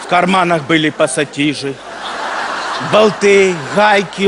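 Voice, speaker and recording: With noticeable background noise behind him, a man speaks very slowly with ordinary pitch variation. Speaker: comedian. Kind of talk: comic stage monologue. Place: stage.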